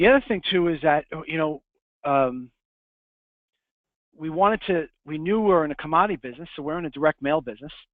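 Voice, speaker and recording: A man speaks at a very fast pace in a New York accent. His pitch is fairly high. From Long Island, New York. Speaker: print business owner. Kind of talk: webinar presentation. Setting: webinar.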